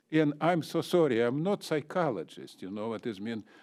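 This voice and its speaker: A man with a non-native accent speaks at a moderate pace in a dark, mellow tone, his medium pitch making very wide swings, on a very clean recording with a silent background. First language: not English. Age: 70s. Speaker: public commenter. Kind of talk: public comment. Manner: agitated.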